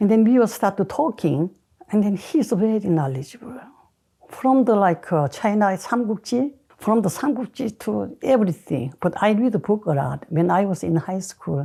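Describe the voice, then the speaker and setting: A woman speaks with lively intonation and vocal fry. Her tone is dark and mellow. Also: medium pitch for a woman, moderate pace. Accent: Korean. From South Korea. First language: Korean. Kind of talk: interview answer.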